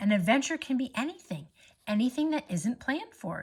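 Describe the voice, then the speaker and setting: A woman talks at a fairly quick pace in a high-pitched put-on character voice. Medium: read story. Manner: breezy, cheerful.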